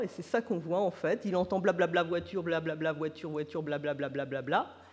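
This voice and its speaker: A woman talks at a fairly quick pace. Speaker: neuroscience researcher. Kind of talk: conference lecture. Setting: conference with audience. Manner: slightly trembling voice.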